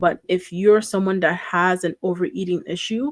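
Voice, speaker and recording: On a very clean recording with a silent background and a dry, close sound with no echo, a woman with a non-native accent speaks at a moderate pace, with a fairly low pitch and fairly even intonation. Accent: noticeable non-native. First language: not English. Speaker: reaction streamer. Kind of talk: casual reaction commentary.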